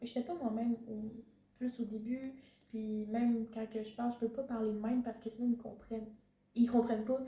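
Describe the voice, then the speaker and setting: A woman speaks with a Quebec accent at a moderate pace. Her pitch is high. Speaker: intern abroad. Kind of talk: casual chat.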